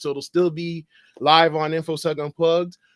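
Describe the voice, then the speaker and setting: A man speaks in an energetic tone at a moderate pace, the sound dry and close with no echo. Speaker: podcast host. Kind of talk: live podcast host talk. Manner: casual, energetic.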